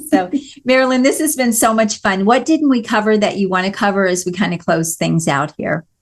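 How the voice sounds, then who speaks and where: Her fairly high pitch swings very widely as this woman talks at a moderate pace. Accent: slight Missouri. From Missouri. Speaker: podcast host. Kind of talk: interview podcast conversation.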